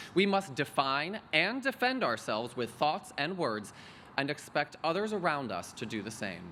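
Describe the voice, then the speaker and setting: A man with an American accent, fairly high pitch, vocal fry, very wide pitch swings and a moderate pace. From US Midwest. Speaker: MBA graduate student speaker. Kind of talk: graduation speech.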